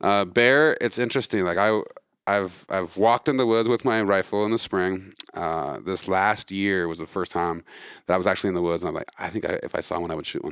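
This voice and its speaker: In a very clean recording with a silent background, a man with an American accent talks at a fairly quick pace and fairly low pitch in an ordinary speaking voice. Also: ordinary pitch variation. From Montana. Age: 40s. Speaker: conservation group leader. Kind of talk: casual interview. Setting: hotel lounge.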